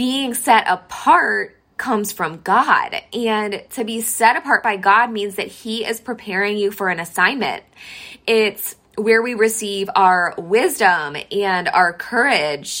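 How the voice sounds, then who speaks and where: A woman speaks very slowly in a fairly high voice with a bright, sharp tone and ordinary pitch variation. The recording is very clean, with a silent background. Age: 30s. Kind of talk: devotional talk. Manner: earnest.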